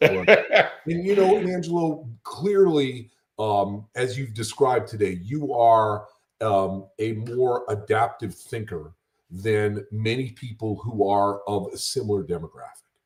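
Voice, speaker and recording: Speaking with an American accent, a man uses lively intonation at a medium pitch. His pace is fairly slow and his voice somewhat breathy. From Connecticut. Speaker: wealth adviser. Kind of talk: interview conversation. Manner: hesitant, with fillers.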